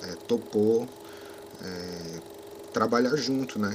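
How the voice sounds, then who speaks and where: A man with a fairly low pitch talks at a fairly slow pace over noticeable background noise. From Brazil, São Paulo south zone. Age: 30s. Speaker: cinematographer. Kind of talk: interview.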